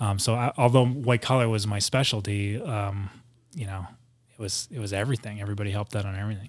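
Fairly low-pitched, a man talks very fast with fairly even intonation in a very clean recording with a silent background. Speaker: former FBI agent and small business owner. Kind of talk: casual chat. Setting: studio.

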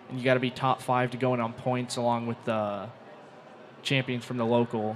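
A man talks at a moderate pace as noticeable background noise runs underneath. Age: young. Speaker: soapbox derby racer. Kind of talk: casual interview.

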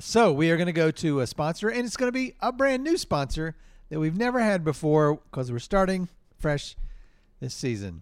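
With an American accent, a man talks at a moderate pace and a fairly high pitch, making very wide pitch swings. The recording is very clean with a silent background. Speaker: improv comedian and podcast host. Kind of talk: improvised comedy. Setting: stage with audience.

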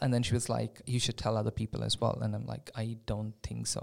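Monotone, flat delivery on a very clean recording against a silent background. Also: man. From India. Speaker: community advocate and international student. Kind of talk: casual interview chat.

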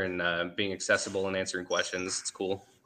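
With a fairly low pitch, a man speaks very fast against noticeable background noise. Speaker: caller, churchgoer. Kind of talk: casual chat.

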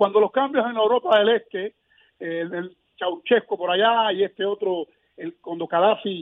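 This man's voice sits at a high pitch and shows ordinary pitch variation. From Cuba, Placetas. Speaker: political activist and former political prisoner. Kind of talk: interview. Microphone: connection dropped, hard to hear.

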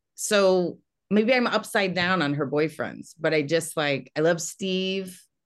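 A woman with a plain, everyday voice speaks at a fairly slow pace, her pitch fairly low with ordinary pitch variation. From Texas. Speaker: comedian and TV writer. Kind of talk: casual chat.

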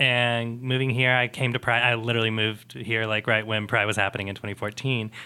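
Barely pausing, a man rattles off words at a very fast pace in a medium pitch with flat, monotone intonation. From small conservative town. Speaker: volunteer. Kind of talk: casual interview.

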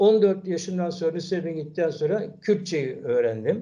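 The man's voice sits at a high pitch with a dark, mellow tone. He talks at a moderate pace with lively intonation. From Istanbul, Turkey. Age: 70s. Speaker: son of a murdered Kurdish intellectual. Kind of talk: interview. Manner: halting.

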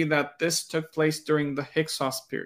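This man speaks with a Romanian accent at a fairly high pitch. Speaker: pastor and theology scholar. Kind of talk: casual interview discussion.

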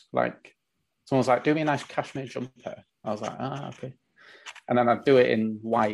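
A man with a Yorkshire accent talks at a medium pitch and a fairly quick pace, with fairly even intonation and long, frequent pauses. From northern England (Leeds, West Yorkshire). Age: 30s. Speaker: artisan grooming product maker. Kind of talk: casual interview chat.

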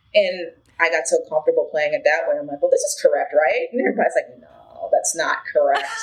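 Noticeable background noise accompanies very fast talking in an American accent. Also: woman. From Chicago, Illinois. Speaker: multi-instrumentalist and UX designer. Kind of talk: interview conversation.

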